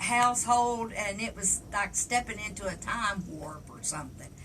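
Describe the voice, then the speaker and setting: In an Appalachian accent, a woman speaks at a fairly slow pace, with noticeable background noise and audible room echo. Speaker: storyteller. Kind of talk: storytelling. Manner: folksy, halting with fillers.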